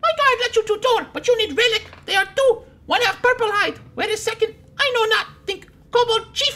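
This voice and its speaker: At a moderate pace, the speaker puts on a character voice pitched extremely high. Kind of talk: broken, halting English. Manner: put-on voice.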